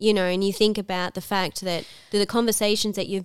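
In an Australian accent, the speaker talks fairly quickly in a flat monotone. The recording is very clean, with a silent background. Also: woman. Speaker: podcast co-host, school worker. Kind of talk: casual chat. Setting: at home across a coffee table.

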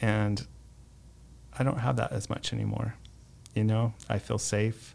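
A man with an American accent talks at a medium, unhurried tempo. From Arizona, Mesa. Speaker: publisher of a senior services resource guide. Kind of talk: interview.

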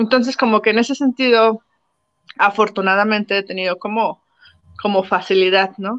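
A woman speaks at a moderate pace with fairly even intonation and long, frequent pauses, in a dry, close sound with no echo. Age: 30s. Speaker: university professor. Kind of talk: interview.

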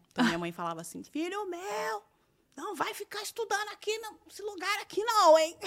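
Pitch leaps up and down very widely as the words come fairly quickly. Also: woman. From Brazil, Campinas (interior of São Paulo state). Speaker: journalist and communication strategist, former TV presenter. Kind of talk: podcast interview conversation. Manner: energetic.

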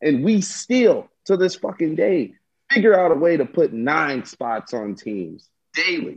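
An animated man with a high voice, very wide pitch swings and a fairly slow pace. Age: 20s. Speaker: baseball fan guest. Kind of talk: casual sports chat.

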